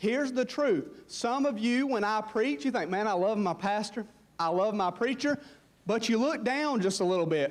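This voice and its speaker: A man with a Southern US accent speaks in a high voice at a moderate pace. His pitch swings very widely while his loudness stays very even. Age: 20s. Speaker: pastor. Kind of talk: sermon. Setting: church. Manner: animated.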